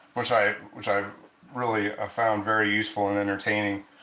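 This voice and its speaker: With an Ohio accent, a man speaks amid audible room echo and noticeable background noise. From Ohio, US. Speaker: cast iron cooking streamer. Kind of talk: live stream cooking chat. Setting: live stream. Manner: halting, many restarts and fillers.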